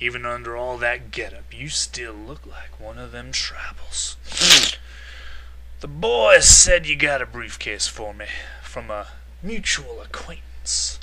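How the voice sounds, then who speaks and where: A man speaks at a fairly slow pace in a put-on character voice, with clear background noise behind him. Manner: suspicious, menacing.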